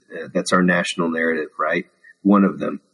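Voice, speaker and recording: A man talks with a Texas accent. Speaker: Episcopal priest. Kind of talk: casual interview chat.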